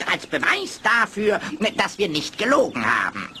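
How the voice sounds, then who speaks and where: Over clear background noise, a man speaks at a moderate pace. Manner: brisk, confident, decisive.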